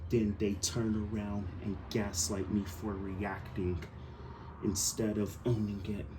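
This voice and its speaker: A man speaks with a fairly low pitch and fairly even intonation, somewhat breathy, with audible room echo. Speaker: action figure YouTuber. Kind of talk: casual vlog monologue. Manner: stuttering; repeats words, halting.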